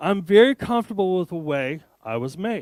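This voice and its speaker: On a very clean recording with a silent background and a dry, close sound with no echo, a high-pitched man with an American accent talks at a fairly quick pace with lively intonation. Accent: American, speaker says he has an. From Arizona, US. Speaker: tech developer advocate, conference speaker. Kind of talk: conference keynote talk. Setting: stage with audience, hybrid event. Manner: animated, joking.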